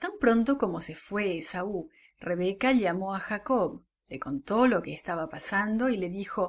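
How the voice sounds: In this clip, a natural reading voice is heard with a quiet background.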